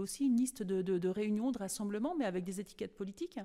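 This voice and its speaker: A woman with a dark, mellow tone speaks at a very fast pace. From France, Cholet (western France). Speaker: local election candidate. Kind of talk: radio interview. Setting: campaign office. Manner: halting, many hesitations.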